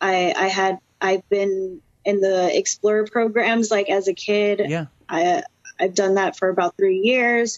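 At a very slow pace, a woman with an American accent speaks at medium pitch with ordinary pitch variation. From Florida (Orlando). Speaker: professional wrestler. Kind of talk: interview.

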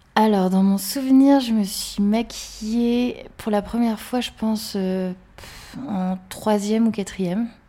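A woman speaks at a very slow pace. Her medium-pitched voice shows ordinary pitch variation. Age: 30s. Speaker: interviewee. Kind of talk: interview.

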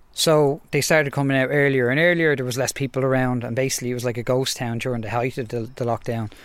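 A man with a Dublin accent at a medium pitch, very fast and with hardly any pauses, on a very clean recording with a silent background. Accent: Irish (Dublin). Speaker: wildlife podcast co-host, zoologist. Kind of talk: casual chat. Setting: outdoors, garden. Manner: animated.

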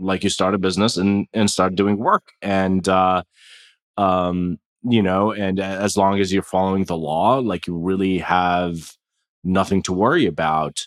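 A man speaks with a very deep, low pitch and fairly even intonation, at a fairly slow pace. The sound is dry and close with no echo, and the recording is very clean with a silent background. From Jordan. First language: Arabic. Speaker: tech entrepreneur. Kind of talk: interview. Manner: halting, many fillers.

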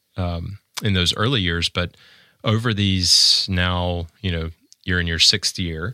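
Very deep and low, this man's voice has a bright, sharp tone and fairly even intonation, captured dry and close with no echo on a very clean recording with a silent background. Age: 40s. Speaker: podcast host. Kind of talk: interview. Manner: hesitant, many fillers.

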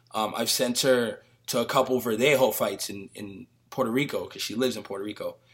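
Speaking at a fairly quick pace with an American accent, a man at medium pitch swings widely in loudness. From New York (the Bronx). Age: 30s. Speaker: sports journalist. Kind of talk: casual chat.

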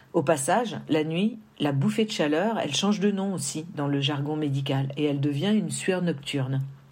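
With audible room echo, a woman with a very deep, low pitch speaks at a moderate pace with hardly any pauses and ordinary pitch variation. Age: 50s. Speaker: woman giving a menopause testimony. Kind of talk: testimony.

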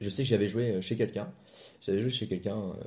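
A man speaks at a medium pitch with a somewhat breathy quality. His tone is dark and mellow. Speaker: podcast co-host. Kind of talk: casual chat.

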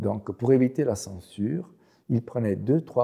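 A man with an Italian accent speaks in a dark, mellow tone. His intonation is lively. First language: Italian (speaking French). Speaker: professor. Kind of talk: interview. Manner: halting.

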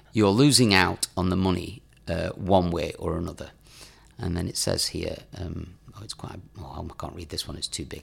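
A man speaks with a northern English accent at a very deep, low pitch. His loudness rises and falls a great deal. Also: ordinary pitch variation, moderate pace. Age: 40s. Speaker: podcast co-host. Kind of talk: casual chat. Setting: studio.

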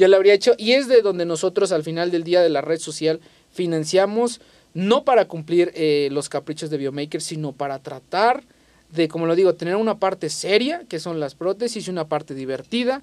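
A man speaks in a high pitch with ordinary pitch variation. The recording is very clean, with a silent background. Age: 20s. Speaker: robotics engineer and entrepreneur. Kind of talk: interview conversation. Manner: animated.

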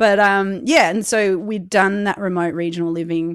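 A woman with an Australian accent speaks at a moderate pace with fairly even intonation. The recording is very clean, with a silent background. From South Australia. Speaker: podcaster and storyteller. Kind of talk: casual interview.

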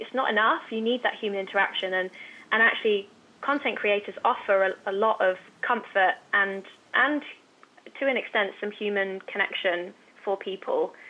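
Here a woman speaks in an ordinary speaking voice at medium pitch and a moderate pace. Her pitch varies in an ordinary way. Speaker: influencer talent agency head. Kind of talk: interview.

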